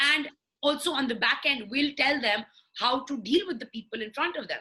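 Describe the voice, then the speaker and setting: Her voice raised and projected, a woman speaks at a high pitch and a fairly quick pace. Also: ordinary pitch variation. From Pakistan, Lahore. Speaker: fashion journalist and YouTuber. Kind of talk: interview.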